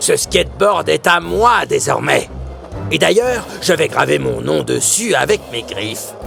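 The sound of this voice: With clear music in the background, a man does a put-on character voice at a fairly slow pace, full of big pitch swings and vocal fry. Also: fairly high pitch for a man.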